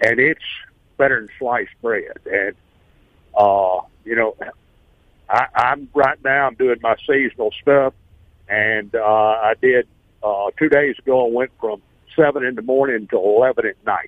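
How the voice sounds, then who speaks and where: Pausing long and often, a man with a Southern US accent speaks at a fairly slow pace and medium pitch with fairly even intonation. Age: 70s. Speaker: caller. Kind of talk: testimony. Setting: phone call.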